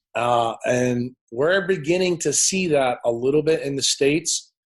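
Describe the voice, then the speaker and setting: An American accent with ordinary pitch variation. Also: man. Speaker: neurosurgeon and health speaker. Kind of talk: podcast interview. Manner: opinionated, forceful.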